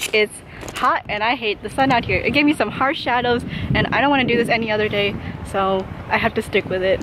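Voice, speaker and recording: A woman speaks very quickly, her pitch moving in an ordinary way, with noticeable noise in the background. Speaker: college student. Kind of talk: casual vlog talk to camera.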